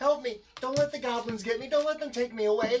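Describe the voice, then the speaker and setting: This is a put-on character voice with a fairly high pitch. It goes at a fairly quick pace. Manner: panicked, pleading.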